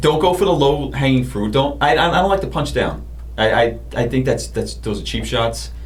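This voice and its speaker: Amid noticeable background noise and audible room echo, a man with a New York accent talks at a moderate pace. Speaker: comedian. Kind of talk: casual chat.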